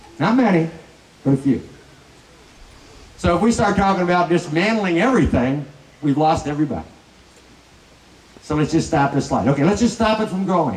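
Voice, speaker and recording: Over noticeable background noise, a man with an American accent talks at a high pitch and a fairly quick pace, with lively intonation and long, frequent pauses. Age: 60s. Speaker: political candidate. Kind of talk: political speech.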